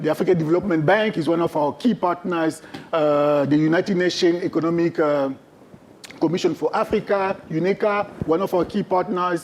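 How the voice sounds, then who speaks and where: Over noticeable background noise, the voice holds very even loudness and fairly even intonation. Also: man, high pitch for a man, fairly quick pace. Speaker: trade fair sales representative. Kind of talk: presentation.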